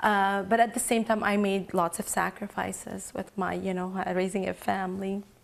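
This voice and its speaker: A woman's monotone, flat speech with hardly any pauses. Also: medium pitch for a woman, moderate pace. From Lebanon. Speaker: entrepreneur. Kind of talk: interview. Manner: halting.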